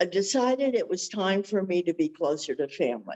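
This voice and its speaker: A woman with an American accent, medium in pitch, at a moderate pace, with a plain, everyday voice. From Southern California. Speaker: senior living resident. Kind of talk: panel interview testimony. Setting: video webinar.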